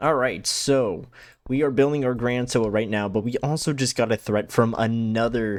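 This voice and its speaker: A man with a normal speaking voice and a medium pitch talks at a moderate pace with ordinary pitch variation, on a very clean recording with a silent background. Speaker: gaming YouTuber. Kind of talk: let's play commentary. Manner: casual, thinking aloud with fillers.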